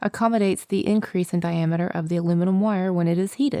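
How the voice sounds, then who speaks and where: Her tone sounds dark and mellow. The woman's pitch is medium. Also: dry, close sound with no echo. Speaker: voice actor. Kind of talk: e-learning instructional narration.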